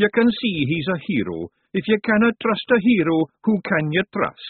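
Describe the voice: At a moderate pace, a man does a high put-on character voice with big pitch swings and a slightly husky edge, the sound dry and close with no echo.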